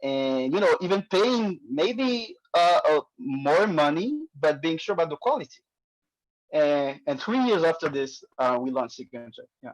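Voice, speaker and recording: Speaking at a fairly slow pace, this voice carries a non-native accent. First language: not English. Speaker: startup founder. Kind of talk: Q&A answer in pitch session. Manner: hesitant, many fillers.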